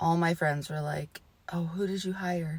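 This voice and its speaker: A woman's somewhat breathy voice sits fairly low in pitch and stays monotone, with flat intonation. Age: 30s. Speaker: mother and home vlogger. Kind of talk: casual talk to camera.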